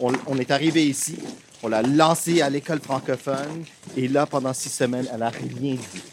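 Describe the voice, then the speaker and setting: A fairly high-pitched man talks with fairly even intonation as noticeable noise runs in the background. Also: moderate pace. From Toronto, Canada. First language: English (speaking French). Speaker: theatre school director. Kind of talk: interview. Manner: halting.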